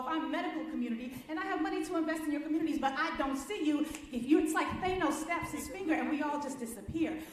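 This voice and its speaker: Very fast, animated speech from a woman with a high pitch, with audible room echo and noticeable background noise. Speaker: racial justice lawyer. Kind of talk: conference presentation.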